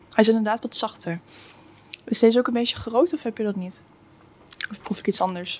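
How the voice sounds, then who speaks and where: A woman's fairly high voice, with big swings in loudness and long, frequent pauses, over noticeable background noise. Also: ordinary pitch variation, fairly quick pace. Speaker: podcast co-host. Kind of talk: casual chat.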